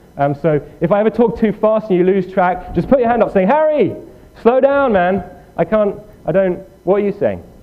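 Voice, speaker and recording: A man with a high voice over noticeable background noise. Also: ordinary pitch variation, fairly quick pace. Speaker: programming workshop instructor. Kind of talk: tutorial. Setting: room with live audience. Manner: fast; halting.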